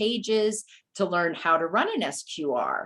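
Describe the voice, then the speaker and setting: A woman speaks at medium pitch with ordinary pitch variation. She has an ordinary speaking voice. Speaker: university data documentation specialist. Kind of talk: webinar presentation.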